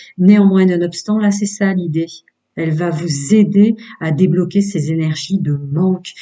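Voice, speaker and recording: High pitch from a man, with fairly even intonation. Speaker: tarot reader. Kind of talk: tarot reading. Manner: hesitant.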